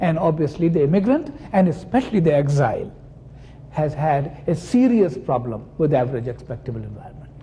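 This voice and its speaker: A man speaks at a fairly quick pace and fairly high pitch, with lively intonation. Room echo is audible. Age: 60s. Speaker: psychoanalyst. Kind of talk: lecture.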